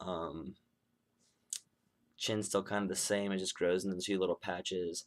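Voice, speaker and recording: A man at a fairly low pitch and moderate pace. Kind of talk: casual vlog update. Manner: expressive, fluctuating pitch when excited; hesitant with many fillers.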